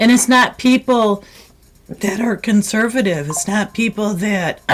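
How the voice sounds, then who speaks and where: A woman with an American accent speaks in a fairly high voice over noticeable background noise. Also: ordinary pitch variation. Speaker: live stream host. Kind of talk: live call-in show commentary. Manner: impassioned.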